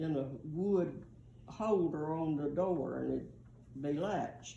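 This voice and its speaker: A woman speaks very slowly with a Southern US accent, her very deep, low pitch showing vocal fry and ordinary pitch variation. Audible room echo surrounds her voice. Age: 80s+. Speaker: grandmother telling family history. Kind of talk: oral history storytelling. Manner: halting.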